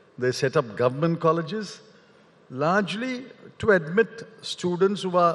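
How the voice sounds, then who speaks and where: This man talks at a moderate pace in a high pitch for a man. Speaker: guest. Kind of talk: interview answer. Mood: measured, argumentative. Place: stage. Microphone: handheld.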